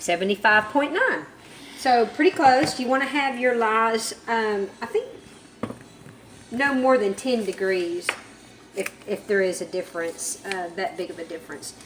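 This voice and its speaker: A woman with a fairly high pitch talks at a fairly slow pace with long, frequent pauses amid noticeable background noise. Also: lively intonation. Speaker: soap maker. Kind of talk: tutorial. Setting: home workshop, child filming.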